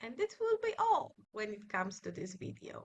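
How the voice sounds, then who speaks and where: A woman speaks with a Polish accent. Her pace is fairly slow. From Poland. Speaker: scrapbooking youtuber. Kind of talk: tutorial. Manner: hesitant, with many filler sounds.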